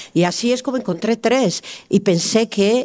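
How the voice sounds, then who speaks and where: A woman speaks in an Italian accent with ordinary pitch variation. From Italy. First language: Italian (speaking Spanish). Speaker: podcast guest. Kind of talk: casual chat.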